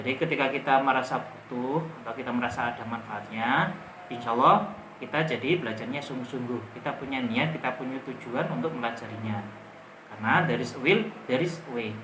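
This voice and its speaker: Through audible room echo and noticeable background noise, a man with a strong Javanese accent talks at a very fast pace, medium in pitch with ordinary pitch variation. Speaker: English teacher. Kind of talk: tutorial. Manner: casual.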